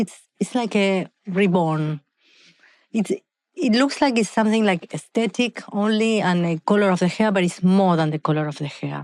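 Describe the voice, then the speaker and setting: In a very clean recording with a silent background, a woman with an Argentine accent speaks at a medium pitch with ordinary pitch variation. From Argentina. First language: Spanish. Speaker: hair care entrepreneur. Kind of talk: podcast interview. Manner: halting, self-correcting.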